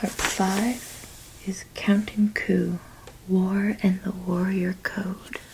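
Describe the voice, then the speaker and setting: A soft-spoken woman talks at a medium pitch in a calm tone and a monotone, flat intonation. Her pace is very slow, and there is noticeable background noise. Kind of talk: soft-spoken ASMR reading. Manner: soft-spoken, calm.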